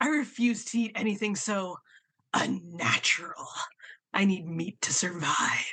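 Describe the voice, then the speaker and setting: A gravelly, put-on character voice sits at a fairly high pitch. The pace is moderate. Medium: stage play.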